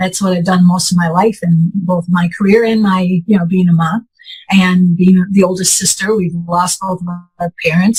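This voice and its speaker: Music plays in the background as a woman talks at a fairly quick pace. Her pitch is medium. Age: 60s. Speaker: patient sharing health story. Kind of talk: interview testimony.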